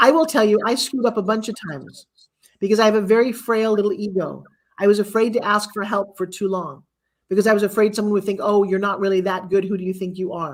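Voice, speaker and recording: Speaking at a very fast pace in an animated tone, a woman keeps a medium pitch and ordinary pitch variation. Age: 60s. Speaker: infomercial host and speaking coach. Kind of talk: motivational talk.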